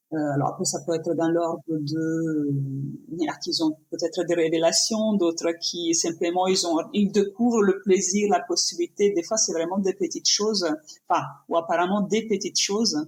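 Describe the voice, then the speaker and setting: With an Italian accent, a woman speaks at a moderate pace in a fairly low pitch, her pitch varying in an ordinary way. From Italy. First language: Italian (speaking French). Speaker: painter and yoga teacher. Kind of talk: podcast interview. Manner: halting, many fillers and restarts.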